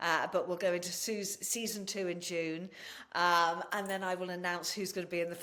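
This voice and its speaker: A woman with an English accent, medium pitch, and moderate pace. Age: 60s. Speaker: podcast host and natural-healing advocate. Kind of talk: interview chat.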